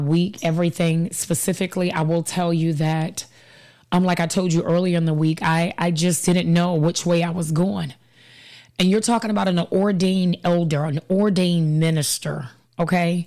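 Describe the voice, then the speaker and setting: Speaking at a moderate pace, a woman uses a dark, mellow tone of fairly low pitch, with very even loudness and fairly even intonation. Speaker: podcast host and life coach. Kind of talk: live-streamed casual talk show. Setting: live stream with a studio helper.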